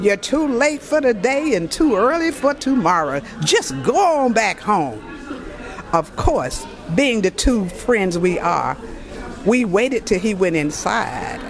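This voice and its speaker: With music in the background and audible room echo, a woman with a fairly high voice speaks at a very slow pace, her pitch swinging very widely while her loudness stays very even. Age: 70s. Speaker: high school alumna at class reunion. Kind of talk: interview testimony. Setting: recorded interview at reunion.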